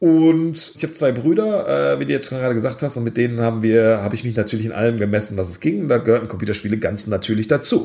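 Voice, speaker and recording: This man talks at a very fast pace with hardly any pauses. His pitch sits in the medium range. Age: 40s. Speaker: esports company founder and CEO. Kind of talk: interview.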